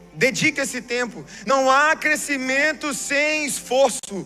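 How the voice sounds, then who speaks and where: Noticeable background noise surrounds a man with an extremely high pitch. His voice is raised and projected. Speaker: pastor. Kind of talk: sermon.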